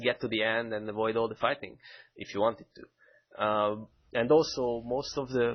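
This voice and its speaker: With a Hungarian accent, a man talks at a fairly quick pace, his medium pitch held in fairly even intonation. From Hungary, Budapest. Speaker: game mission designer. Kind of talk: game stream commentary. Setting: live stream.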